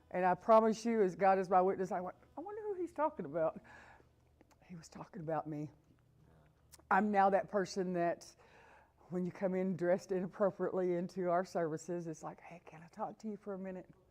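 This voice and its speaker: A woman's medium-pitched voice at a fairly quick pace, with ordinary pitch variation, big swings in loudness, and long, frequent pauses. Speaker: sober living program operations manager. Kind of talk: testimony. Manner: blunt, straightforward.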